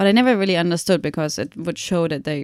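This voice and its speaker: A woman speaks with a German accent. Her pace is very fast. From Germany (Munich). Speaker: documentary photographer. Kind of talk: podcast interview. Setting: university office.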